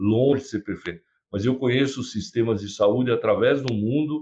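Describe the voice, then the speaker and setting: With ordinary pitch variation, a man talks in a somewhat breathy way. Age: 70s. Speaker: physician and professor. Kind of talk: interview.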